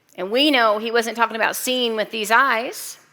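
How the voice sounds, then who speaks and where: A woman's loud, high-pitched voice with a bright, sharp tone and fairly even intonation moves at a moderate pace on a very clean recording with a silent background. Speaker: pastor. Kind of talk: sermon.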